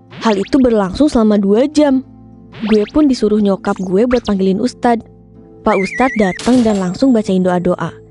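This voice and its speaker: A woman speaks at a moderate pace in a fairly high pitch, with ordinary pitch variation. Her loudness stays very even, and music plays in the background. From Yogyakarta. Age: 20s. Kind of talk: animated story narration. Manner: casual, slangy.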